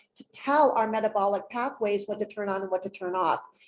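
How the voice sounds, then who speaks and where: A woman with a plain, everyday voice, fairly high pitch and fairly even intonation. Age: 60s. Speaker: holistic pet health expert. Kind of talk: interview presentation.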